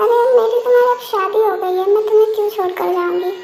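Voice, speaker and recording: A put-on character voice with fairly even intonation at a fairly quick pace. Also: woman, extremely high pitch for a woman. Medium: read story.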